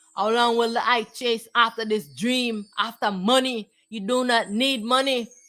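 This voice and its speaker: Music plays in the background as a woman speaks with a high pitch. Her pace is very slow and her intonation fairly even. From Jamaica. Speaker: spiritual teacher. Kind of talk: spiritual talk. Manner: halting, repeats words.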